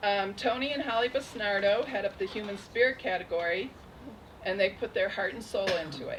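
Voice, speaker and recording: A woman speaks at a fairly quick pace, her voice shaky. Background noise is noticeable. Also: medium pitch for a woman, ordinary pitch variation. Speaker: festival program director. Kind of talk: award ceremony speech.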